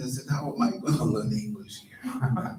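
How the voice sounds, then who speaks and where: A man speaks with audible room echo. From Brazil, Rio de Janeiro. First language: Portuguese. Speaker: minister. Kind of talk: sermon. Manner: halting.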